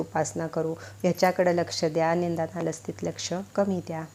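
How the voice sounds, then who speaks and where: This woman's voice is fairly low in pitch, with a dark, mellow tone. Vocal fry runs through it. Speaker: astrology and home-remedy YouTuber. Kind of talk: tutorial.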